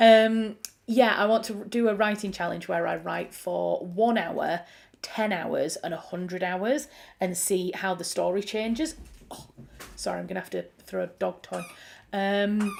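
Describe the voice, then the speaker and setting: Speaking in a Yorkshire accent, a woman talks at a fairly slow pace with a medium pitch and ordinary pitch variation. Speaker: writer talking about her writing process. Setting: at home with a dog. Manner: casual, rambling, distracted.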